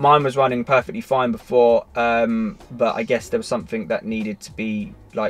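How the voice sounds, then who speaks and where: Over music in the background, a man with a British accent talks at a fairly quick pace. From Britain. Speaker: car tech YouTuber. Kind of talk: tutorial. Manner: casual, with many fillers and restarts.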